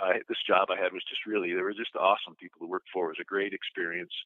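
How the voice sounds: Fast and low-pitched, a man talks with little pitch movement in a dry, close sound with no echo.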